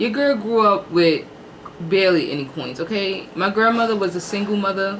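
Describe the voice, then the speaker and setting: A woman talks at a moderate speed. The room echo is audible, and there is noticeable noise in the background. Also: medium pitch for a woman, ordinary pitch variation. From New York (Harlem). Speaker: YouTube host. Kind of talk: casual chat. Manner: animated.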